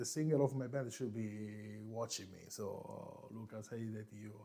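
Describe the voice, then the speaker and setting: A man with an Italian accent, fairly low-pitched and dark, mellow in tone, at a moderate pace with long, frequent pauses, fairly even intonation, big swings in loudness and audible room echo. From Italy, Marche region. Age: 40s. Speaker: coffee youtuber, former barista. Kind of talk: live stream chat. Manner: relaxed.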